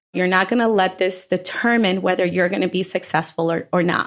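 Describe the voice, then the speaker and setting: With fairly even intonation, a normal speaking voice comes through on a very clean recording with a silent background. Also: woman. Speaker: restaurant owner. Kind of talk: interview.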